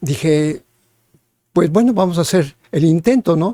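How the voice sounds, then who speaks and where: A man speaks in a dark, mellow tone with lively intonation. The sound is dry and close, with no echo. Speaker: musician. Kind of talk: personal testimony. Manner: hesitant, many filler words.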